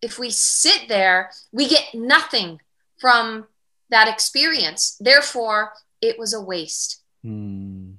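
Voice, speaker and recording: Speaking very slowly with an American accent, a woman uses a fairly high pitch, lively intonation and a bright, sharp tone. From US Midwest, Michigan. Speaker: cancer survivor and spiritual teacher. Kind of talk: podcast interview, personal story.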